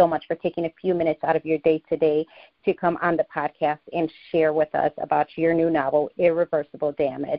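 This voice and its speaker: With an American accent, a woman speaks at a fairly quick pace and fairly low pitch in a monotone, flat intonation. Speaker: podcast host. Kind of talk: interview.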